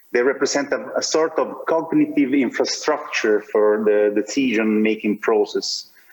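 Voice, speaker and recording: Noticeable background noise is present. A man speaks at a fairly slow pace. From Italy, Naples/Campania. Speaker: urban planning researcher. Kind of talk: panel debate. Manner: halting.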